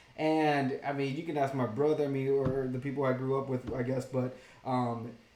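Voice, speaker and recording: With noticeable background noise and audible room echo, a man speaks at a moderate pace in a monotone, flat intonation. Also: medium pitch for a man. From immigrant from Mexico, raised in US. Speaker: ministry member, show co-host. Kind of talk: casual chat.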